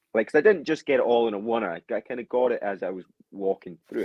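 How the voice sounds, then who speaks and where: A man with a Scottish accent in a dry, close sound with no echo. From Scotland. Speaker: football fan, podcast guest. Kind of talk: casual chat. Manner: animated.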